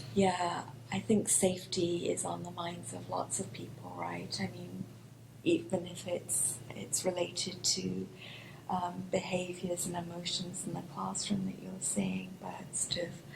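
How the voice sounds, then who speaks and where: Big swings in loudness mark a woman with a British accent, who speaks at a fairly slow pace amid audible room echo. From United Kingdom. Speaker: professor. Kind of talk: panel discussion. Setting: public library town hall with audience.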